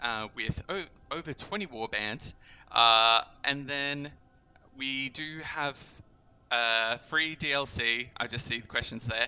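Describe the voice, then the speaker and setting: A man speaks at a medium pitch with an Australian accent, moving very slowly with ordinary pitch variation and long, frequent pauses. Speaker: game community manager. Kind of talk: live stream gameplay and Q&A. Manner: casual, filler-heavy.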